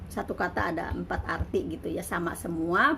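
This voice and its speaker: A woman is speaking. Her pace is fairly quick. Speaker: migrant domestic worker and vlogger. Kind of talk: casual vlog monologue.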